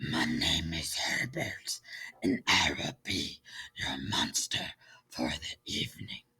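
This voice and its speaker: A man puts on a growling, breathy character voice. He speaks at a fairly slow pace. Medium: read story. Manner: polite, mild.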